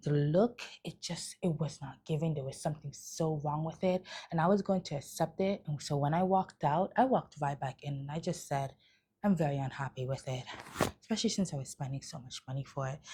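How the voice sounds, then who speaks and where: Whispering at a fairly quick pace, a woman sounds soft-spoken and somewhat breathy. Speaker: travel and shopping vlogger. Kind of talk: casual haul vlog. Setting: at home late at night.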